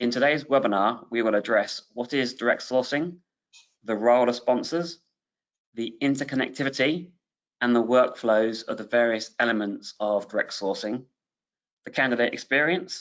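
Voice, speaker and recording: A man with a British accent talks at a moderate pace and medium pitch with ordinary pitch variation. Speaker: webinar host, business executive. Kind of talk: webinar presentation. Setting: online webinar.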